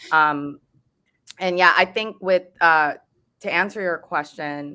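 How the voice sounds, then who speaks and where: Woman with an American accent, a very deep, low pitch and a bright, sharp tone, at a fairly slow pace with ordinary pitch variation. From Texas. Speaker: lawyer. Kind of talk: virtual roundtable discussion.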